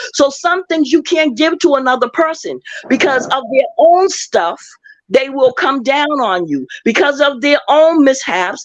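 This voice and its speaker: A high-pitched woman at a fairly slow pace, her intonation lively. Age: 60s. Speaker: live stream commenter. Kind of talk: casual chat; testimony.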